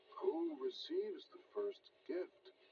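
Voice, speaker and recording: A man speaks with music playing in the background. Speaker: audiobook narrator. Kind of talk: children's storybook reading. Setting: old cassette recording.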